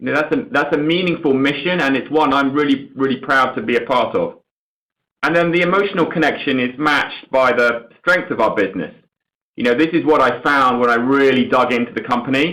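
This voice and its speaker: At a fairly quick pace, a man talks in a fairly high pitch with a bright, sharp tone and ordinary pitch variation. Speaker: company chief executive. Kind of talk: earnings call answer. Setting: conference call. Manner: halting, repeats words.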